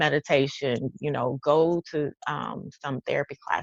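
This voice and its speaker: A woman's very deep, low voice with vocal fry, in a Texas accent, with ordinary pitch variation and a dry, close sound with no echo. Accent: Texas twang. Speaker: life coach and author. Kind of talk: casual chat. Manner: animated.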